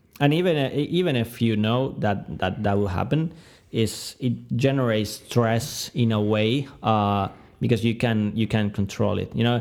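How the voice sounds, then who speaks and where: A man at medium pitch with a Spanish accent, a fairly slow pace and ordinary pitch variation, on a very clean recording with a silent background. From Argentina. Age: 20s. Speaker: product manager and software developer. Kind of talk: interview conversation. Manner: halting, many fillers and repetitions.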